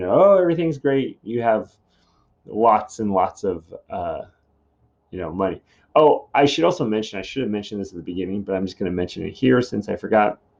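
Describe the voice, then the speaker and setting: A normal speaking voice moves at a fairly quick pace with lively intonation against a quiet background. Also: man. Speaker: high school English teacher. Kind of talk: recorded lesson. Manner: casual, many fillers.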